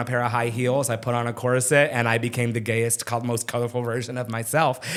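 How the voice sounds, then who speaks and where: A man speaks at a fairly quick pace. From Arizona (Phoenix), from age 8. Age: 30s. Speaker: drag queen and emcee. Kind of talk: casual interview chat. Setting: podcast recording on camera.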